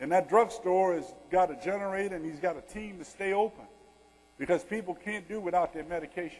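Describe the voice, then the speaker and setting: A man with a Louisiana accent speaks at a fairly quick pace with a high pitch and ordinary pitch variation. His loudness swings widely. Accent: Louisiana Southern. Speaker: retired army general, disaster response speaker. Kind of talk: keynote Q&A. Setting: conference session with audience.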